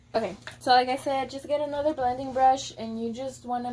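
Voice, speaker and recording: Speaking at a moderate pace with an American accent, a woman has a high pitch, a dark, mellow tone and fairly even intonation. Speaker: beauty vlogger. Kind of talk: makeup tutorial. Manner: casual, chatty.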